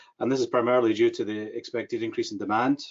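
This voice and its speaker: A man speaks in a strong Scottish accent. His pace is very fast. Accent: thick Scottish. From Scotland. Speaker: government mental health advisor. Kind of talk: webinar presentation. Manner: hesitant, many fillers.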